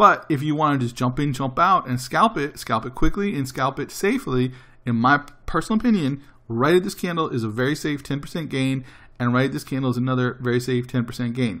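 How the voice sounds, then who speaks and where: A man speaks at a very fast pace in a bright, sharp tone, medium in pitch with ordinary pitch variation. The recording is very clean, with a silent background. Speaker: day trading educator. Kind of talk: tutorial.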